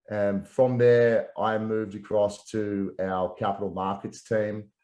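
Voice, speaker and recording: With an Australian accent, the voice carries a dark, mellow tone and fairly even intonation over a quiet background. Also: man. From Australia, Melbourne. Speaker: real estate professional, former international student. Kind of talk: interview.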